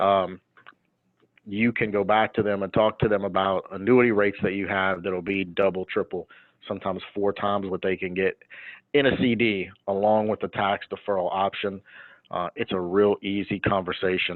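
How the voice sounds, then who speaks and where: Monotone and flat, a man speaks at a fairly low pitch and a moderate pace. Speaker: insurance annuity specialist. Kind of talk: webinar presentation.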